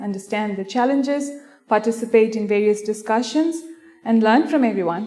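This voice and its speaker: Someone with an Indian accent speaks at a moderate pace in a dark, mellow tone, with audible room echo. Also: woman. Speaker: payments specialist presenting. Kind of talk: conference presentation. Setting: stage with audience.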